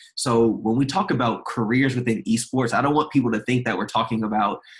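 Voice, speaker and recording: A man with an American accent talks at medium pitch. His voice is somewhat breathy, and his intonation is fairly even. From Maryland, US. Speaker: nonprofit founder in esports. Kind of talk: podcast interview.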